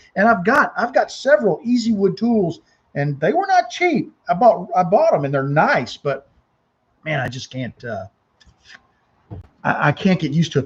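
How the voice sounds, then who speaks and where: This man's pitch swings very widely. His pace is fairly quick. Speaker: woodturning channel host. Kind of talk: casual live stream chat, reading viewer comments. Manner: casual, informal.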